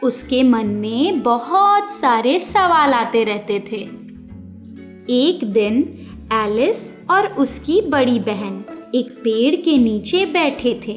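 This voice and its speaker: A high-pitched woman's voice with very wide pitch swings, music in the background. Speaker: voice over artist. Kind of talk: children's fairy tale narration.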